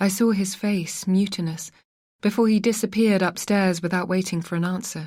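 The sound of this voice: Quiet background behind an unforced reading voice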